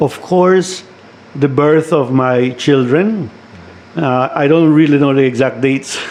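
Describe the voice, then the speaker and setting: Amid noticeable background noise, a man with a fairly high pitch and ordinary pitch variation speaks at a fairly slow pace. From Belize, San Pedro (Ambergris Caye). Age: 60s. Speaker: retired educator and community leader. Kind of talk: radio interview. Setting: studio.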